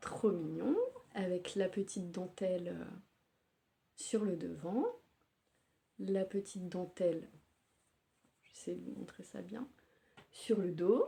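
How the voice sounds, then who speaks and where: A woman talks at a very slow pace, leaving long, frequent pauses, her loudness swinging widely. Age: 30s. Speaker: knitting podcaster. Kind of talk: casual show-and-tell podcast. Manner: hesitant with frequent fillers.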